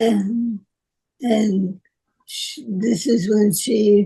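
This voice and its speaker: At a very slow pace, a woman talks in a fairly high, somewhat breathy voice with a dark, mellow tone. Her intonation stays fairly even. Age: 60s. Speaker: exercise class member with Parkinson's. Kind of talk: interview. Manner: halting.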